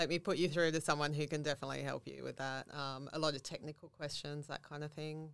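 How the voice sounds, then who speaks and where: A woman with an Australian accent, very fast, hardly any pauses, in a monotone, flat intonation. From Central Coast, New South Wales, Australia. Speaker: customer service staff. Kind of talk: interview.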